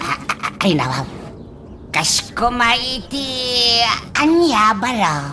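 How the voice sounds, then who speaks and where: A put-on character voice with fairly high pitch and very wide pitch swings moves at a very slow pace, with long, frequent pauses and clear background noise. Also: female-sounding voice. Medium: audio drama. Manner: laughing, repeats "ay, nawaw".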